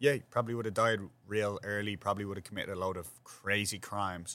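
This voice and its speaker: A fairly quick, fairly evenly intoned delivery in a Dublin accent, on a very clean recording with a silent background. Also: man. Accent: Dublin Irish. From Ireland, north side of Dublin. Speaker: podcast host, restaurant owner. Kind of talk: casual chat.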